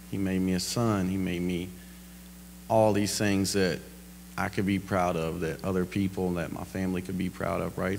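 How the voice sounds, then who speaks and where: Audible room echo surrounds a man whose very deep, low voice shows ordinary pitch variation at a moderate pace. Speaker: guest speaker. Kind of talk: testimony. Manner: loud.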